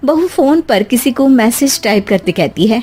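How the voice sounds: At a moderate pace, a woman talks in a fairly high voice with a dark, mellow tone, a slightly husky edge and lively intonation.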